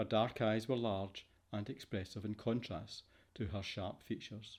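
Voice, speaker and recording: The voice has a Scottish accent. It moves at a moderate pace with fairly even intonation. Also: man, fairly low pitch for a man. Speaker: voice over artist. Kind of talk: fiction audiobook narration.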